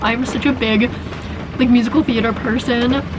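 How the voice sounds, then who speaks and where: A woman talks at a fairly quick pace with a high pitch. Noticeable background noise runs behind her. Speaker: vlogger living in a bus. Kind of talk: casual vlog talk to camera. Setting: inside a bus during a thunderstorm. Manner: fast.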